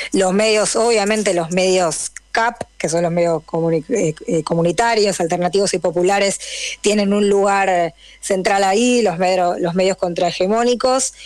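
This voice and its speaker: Over noticeable background noise, a woman speaks at a fairly slow pace with medium pitch, ordinary pitch variation and very even loudness. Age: 30s. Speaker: journalist. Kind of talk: radio interview.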